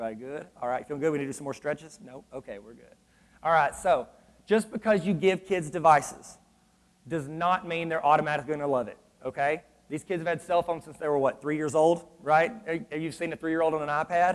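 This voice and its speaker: A man with a fairly high pitch speaks at a very fast pace, his pitch varying in an ordinary way. His loudness swings widely. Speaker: education consultant and trainer. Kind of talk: conference presentation. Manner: animated.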